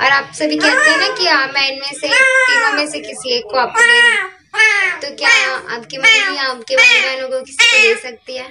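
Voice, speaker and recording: Loud background noise surrounds the speaker. A woman talks at a fairly slow pace. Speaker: pet vlogger. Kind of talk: casual vlog chat. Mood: playful, cheerful. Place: home room. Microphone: phone near.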